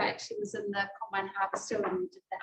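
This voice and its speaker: A woman speaks with a New Zealand accent. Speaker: cooking class teacher. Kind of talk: cooking class.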